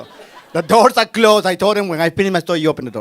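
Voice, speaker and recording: A man talking at a very fast pace with a Spanish accent. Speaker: storyteller. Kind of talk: live storytelling performance. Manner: casual, conversational.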